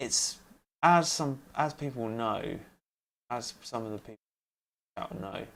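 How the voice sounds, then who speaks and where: At a fairly slow pace, a medium-pitched man speaks with lively intonation, big swings in loudness and long, frequent pauses. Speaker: music producer streamer. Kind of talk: live stream tutorial. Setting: home studio, live stream. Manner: mumbling at times. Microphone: cheap USB lav mic clipped on, may cut out.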